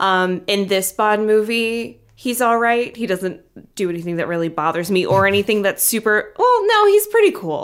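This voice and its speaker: Her fairly high pitch, ordinary pitch variation and moderate pace mark a woman's normal speaking voice. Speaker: podcast host.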